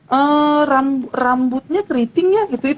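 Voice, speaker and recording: A woman's voice over noticeable background noise. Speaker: seminary-trained church speaker. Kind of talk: online talk show interview. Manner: halting, many repetitions and fillers.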